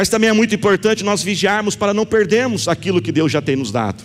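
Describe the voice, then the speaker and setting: In an animated tone, a man speaks with lively intonation. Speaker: pastor. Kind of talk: sermon, passionate preaching with calls to prayer and declarations over the congregation. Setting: church with live congregation, also streamed online. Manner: animated, emphatic, rising in intensity with repeated phrases.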